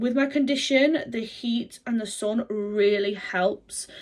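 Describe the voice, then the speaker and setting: At a fairly slow pace, a woman speaks in a northwest English accent. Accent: north-west English. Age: 30s. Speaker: vlogger. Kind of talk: vlog talk to camera. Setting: handheld camera.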